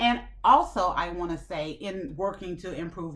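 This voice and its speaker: The woman's tone is animated. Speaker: self-improvement channel host. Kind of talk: motivational talk to camera. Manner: loud.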